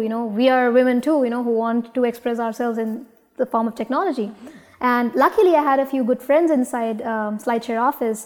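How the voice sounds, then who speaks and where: A woman with an Indian accent speaks at a fairly quick pace in a high pitch, keeping her intonation fairly even. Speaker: startup founder. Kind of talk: interview. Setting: studio. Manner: halting.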